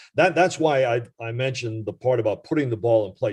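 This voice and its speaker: Somewhat breathy, a man speaks at a medium pitch with ordinary pitch variation. The background is quiet. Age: 70s. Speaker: retired baseball radio reporter. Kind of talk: podcast interview. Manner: hesitant, many fillers.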